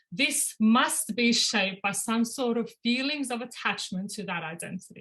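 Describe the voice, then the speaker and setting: The woman's pitch shifts in an ordinary way as she talks. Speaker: doctoral researcher. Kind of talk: academic presentation. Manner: fast.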